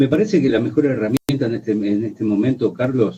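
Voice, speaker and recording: In a normal speaking voice, a man talks with ordinary pitch variation. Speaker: radio host. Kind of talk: radio interview.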